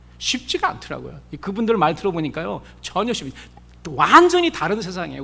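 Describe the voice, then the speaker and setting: Here a man speaks at a fairly quick pace. His high voice has a bright, sharp tone. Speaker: pastor. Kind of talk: sermon.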